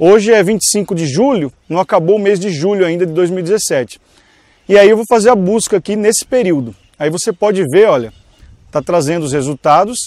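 The man's high voice has lively intonation at a moderate pace. The sound is dry and close, with no echo. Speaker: online business instructor. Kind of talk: tutorial. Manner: casual direct address.

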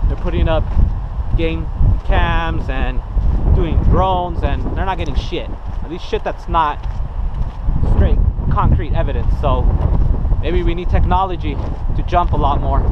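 Through loud background noise, a man talks at a moderate pace with long, frequent pauses, in a dry sound with no echo. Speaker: outdoor vlogger. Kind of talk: casual vlog chat. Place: forest. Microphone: phone near.

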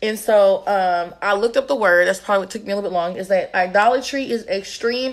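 The speaker is a woman. Her voice is medium in pitch. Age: young. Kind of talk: livestream devotional teaching. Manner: casual, conversational. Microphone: phone near.

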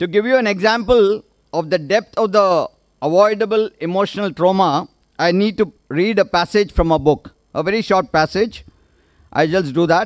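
Over a quiet background, a man with an Indian accent speaks at a high pitch and moderate pace with ordinary pitch variation. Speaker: retired naval officer, author's husband; speaker. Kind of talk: vote of thanks speech. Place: stage. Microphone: podium.

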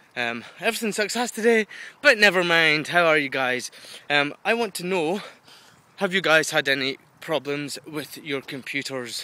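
A man's fairly high, bright and sharp voice with a British accent, lively intonation at a moderate pace, and a dry sound with no echo. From UK. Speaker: video blogger. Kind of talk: casual vlog monologue. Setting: outdoors walking dog in woods. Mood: frustrated yet chatty. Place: forest. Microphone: phone near.

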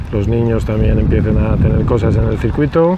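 A man's voice, light background noise, dry sound with no echo. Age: 40s. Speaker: professional golfer. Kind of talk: interview. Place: open country.

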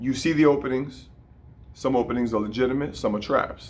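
The pace is moderate. The speaker is a man. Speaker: boxing coach. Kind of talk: tutorial. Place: gym. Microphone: phone near.

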